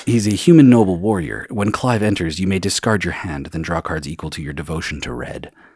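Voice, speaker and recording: A man with a very deep, low voice talks at a fairly quick clip with lively intonation and big swings in loudness, over noticeable background noise. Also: hardly any pauses. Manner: smooth.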